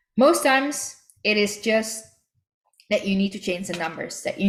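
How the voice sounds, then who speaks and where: A woman speaks with a Dutch accent. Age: 30s. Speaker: network marketing team leader. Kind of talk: online training call.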